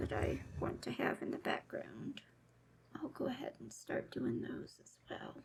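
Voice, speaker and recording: A woman in a relaxed tone. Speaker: cross-stitch video creator. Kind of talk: casual stitch-along chat. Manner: slow; relaxed, meandering.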